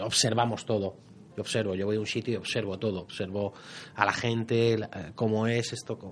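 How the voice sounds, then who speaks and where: A man's normal speaking voice, fairly low in pitch, with fairly even intonation and a moderate pace. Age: 40s. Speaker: private detective and novelist. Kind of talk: radio interview.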